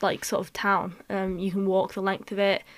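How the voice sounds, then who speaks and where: A woman with a northern English accent speaks at a medium pitch and moderate pace on a very clean recording with a silent background. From northwest England. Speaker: podcast co-host. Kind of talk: casual chat.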